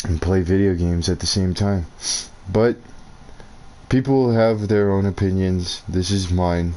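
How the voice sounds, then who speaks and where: Over noticeable background noise, a man speaks at a very deep, low pitch with very even loudness and fairly even intonation. His pace is fairly slow, with long, frequent pauses. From New Mexico, US. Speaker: gaming streamer. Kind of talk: gameplay commentary rant.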